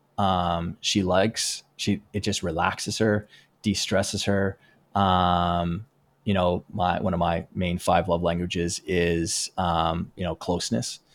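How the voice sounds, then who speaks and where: A man with a Western Canadian accent speaks at a very deep, low pitch in a monotone, flat intonation and at a very slow pace. The recording is very clean, with a silent background. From Southern Alberta, Canada. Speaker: performance coach. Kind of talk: interview conversation.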